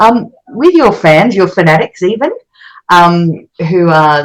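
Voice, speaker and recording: A woman's fairly low voice with an Australian accent and ordinary pitch variation. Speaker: radio host. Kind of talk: interview.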